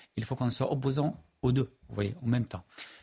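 A man talks at a fairly quick pace in a dark, mellow tone. Vocal fry runs through his voice. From Middle East. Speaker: journalist and writer. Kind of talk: televised panel debate.

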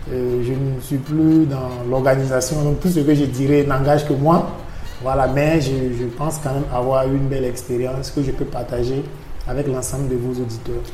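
A monotone, flat delivery at a moderate pace in a Burkinabè accent, with audible room echo and noticeable background noise. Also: man, medium pitch for a man. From Burkina Faso. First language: Mooré (speaking French). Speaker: NGO manager, renewable energy expert. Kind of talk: interview. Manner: hesitant, with fillers.

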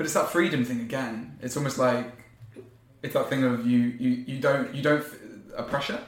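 Against noticeable background noise, a man at medium pitch talks at a moderate pace with fairly even intonation and long, frequent pauses. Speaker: podcast host. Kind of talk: casual interview chat.

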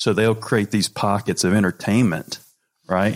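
A man with a plain, everyday voice speaks in an American accent at a moderate pace and fairly low pitch, with ordinary pitch variation, on a very clean recording with a silent background. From North Carolina, US South. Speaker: podcast host, former college baseball player. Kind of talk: casual chat interview.

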